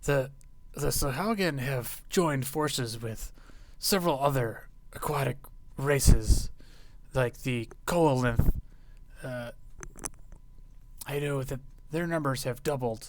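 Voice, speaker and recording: A man puts on a character voice at medium pitch. He talks fairly slowly, with long, frequent pauses. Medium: actual play. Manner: hesitant, searching for words.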